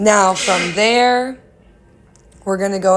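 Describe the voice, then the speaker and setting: A woman talks at a fairly slow pace with fairly even intonation over noticeable background noise. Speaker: painting instructor. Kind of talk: tutorial. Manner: casual, chatty.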